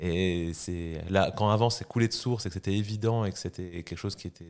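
A man speaks at a very deep, low pitch with fairly even intonation. The recording is very clean, with a silent background. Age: 30s. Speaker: startup founder and CEO. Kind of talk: podcast interview.

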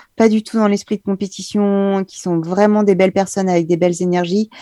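A woman's medium-pitched voice with a dark, mellow tone, fairly even intonation and a moderate pace, dry and close with no echo over a quiet background. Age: 40s. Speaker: mountain guide and climbing champion. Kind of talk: interview.

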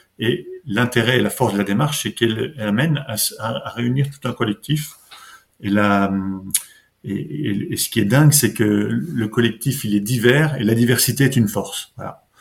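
At a moderate pace, a man speaks in a somewhat breathy voice of medium pitch with ordinary pitch variation. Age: 50s. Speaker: local economic development officer. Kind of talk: podcast interview. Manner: halting, many repetitions.

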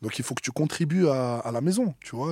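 A man talks at a fairly slow pace with lively intonation. The recording is very clean, with a silent background. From Marseille, southern France. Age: 20s. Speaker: rapper. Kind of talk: interview. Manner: hesitant, with many fillers.

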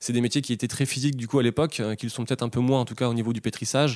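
Very fast and fairly even in intonation, a man speaks at medium pitch on a very clean recording with a silent background. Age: 30s. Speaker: baker. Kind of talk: interview. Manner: halting.

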